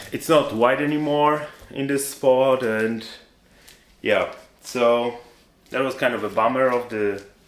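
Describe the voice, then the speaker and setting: At a fairly slow pace and with long, frequent pauses, a man speaks at a medium pitch amid audible room echo. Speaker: vlogger. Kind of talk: casual vlog to camera. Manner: varies pace and volume on purpose; halting.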